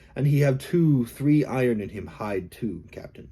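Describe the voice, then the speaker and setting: A put-on character voice from a man, medium-pitched, moderately paced, with big swings in loudness. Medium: read story. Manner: broken English, excited.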